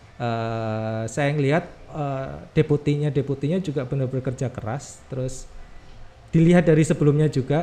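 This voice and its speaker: A man with a strong Javanese accent speaks at a fairly high pitch in a dark, mellow tone. His pace is moderate, with ordinary pitch variation. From Yogyakarta, Java. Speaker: government communications staff, content creator. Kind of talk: podcast interview. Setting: studio. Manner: halting, many fillers.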